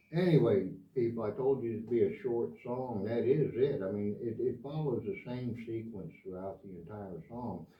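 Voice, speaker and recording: Somewhat breathy, a man with an American accent speaks at a moderate pace with lively intonation. Audible room echo surrounds his voice. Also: medium pitch for a man. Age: 70s. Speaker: guitar teacher. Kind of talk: tutorial. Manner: casual, hesitant.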